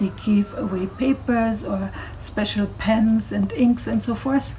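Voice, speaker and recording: With a German accent, a woman speaks at a very slow pace. There is noticeable background noise. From Germany. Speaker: cultural speaker. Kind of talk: online talk.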